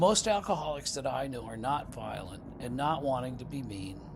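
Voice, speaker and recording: Room echo can be heard as a man talks at a moderate pace. His voice is fairly high and somewhat breathy. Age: 60s. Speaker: recovering alcoholic sharing his story. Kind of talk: reading aloud; testimony. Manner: informal, with fillers.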